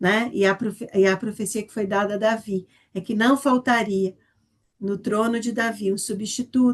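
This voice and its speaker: Her voice somewhat breathy, a woman speaks with fairly even intonation but big swings in loudness. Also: fairly high pitch for a woman, moderate pace. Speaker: Bible study teacher. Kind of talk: Bible study lesson.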